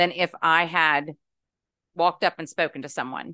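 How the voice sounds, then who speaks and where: A woman with a normal speaking voice and an American accent, moderate pace, ordinary pitch variation, quiet background, and a dry, close sound with no echo. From West Virginia. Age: 50s. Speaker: podcast listener. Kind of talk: casual chat.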